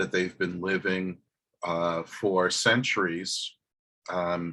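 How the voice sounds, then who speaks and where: In a New York accent, a man speaks very slowly with a very deep, low pitch, a bright, sharp tone and flat, monotone intonation, captured in a very clean recording with a silent background. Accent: New York American. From US, New York. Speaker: professor. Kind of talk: lecture. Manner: slow, hesitant with fillers.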